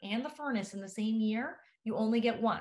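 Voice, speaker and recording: This woman speaks at a fairly quick pace. Her voice is fairly high and somewhat breathy. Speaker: professor. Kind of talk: webinar presentation. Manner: fast.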